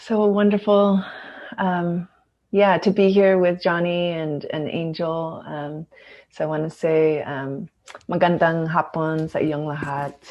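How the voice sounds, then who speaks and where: A Filipino accent comes through at a fairly slow pace. The intonation stays fairly even. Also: woman, fairly low pitch for a woman. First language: Tagalog. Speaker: organizational consultant and facilitator. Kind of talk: panel introduction.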